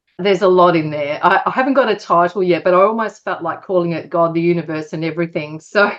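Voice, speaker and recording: A woman talks at a very fast pace, with hardly any pauses. Her pitch is fairly low, with ordinary pitch variation. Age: 60s. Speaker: author and publisher. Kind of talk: interview. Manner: hesitant, with fillers.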